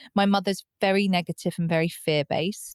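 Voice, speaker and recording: A woman with a British accent, medium pitch and ordinary pitch variation, on a very clean recording with a silent background and a dry, close sound with no echo. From UK. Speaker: psychotherapist and recovery coach. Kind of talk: podcast interview.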